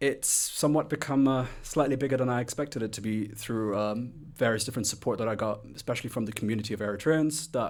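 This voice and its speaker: Speaking at a very fast pace, a man with an English accent talks at a medium pitch. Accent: English accent, noticeable. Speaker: music blogger and record collector. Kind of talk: interview. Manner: halting, many fillers.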